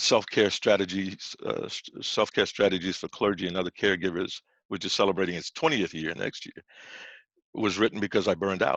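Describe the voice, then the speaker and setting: A man with an American accent, fairly quick and fairly even in intonation, with big swings in loudness and a dry, close sound with no echo. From New Orleans, Louisiana. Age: 60s. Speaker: pastor and author. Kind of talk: presentation talk. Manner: halting, many false starts.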